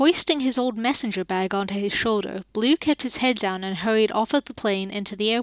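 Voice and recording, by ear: The pitch shifts in an ordinary way. Someone reads aloud in a natural voice.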